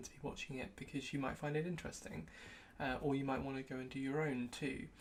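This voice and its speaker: Audible room echo surrounds a woman speaking at a fairly quick pace in a British accent. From UK. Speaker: tech youtuber and consultant. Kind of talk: personal retrospective vlog. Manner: casual with frequent fillers.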